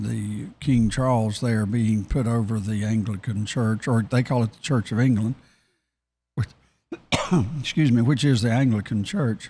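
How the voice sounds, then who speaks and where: A man's somewhat breathy, medium-pitched voice at a moderate pace, with fairly even intonation and long, frequent pauses. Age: 70s. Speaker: talk show co-host. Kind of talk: casual chat. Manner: halting.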